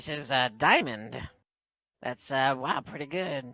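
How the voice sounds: A raspy, nasal put-on character voice at a low-to-middle pitch and fairly slow pace, on a very clean recording with a silent background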